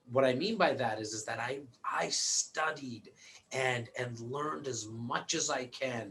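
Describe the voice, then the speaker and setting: Over noticeable background noise, a man with a Canadian accent talks at a fairly slow pace, his medium pitch showing ordinary variation. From Toronto, Canada. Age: 40s. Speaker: real estate broker and investor. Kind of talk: interview. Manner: repetitive, restarting words often.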